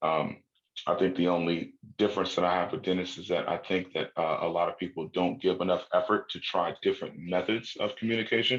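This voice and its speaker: A man rattles through his words very fast, his intonation fairly even. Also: quiet background. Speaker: crypto educator. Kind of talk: casual chat.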